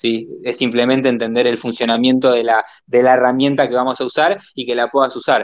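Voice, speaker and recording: A man with a medium pitch talks fairly quickly in a monotone, flat intonation. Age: 20s. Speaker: marketing agency entrepreneur. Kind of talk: casual panel discussion. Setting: online audio space.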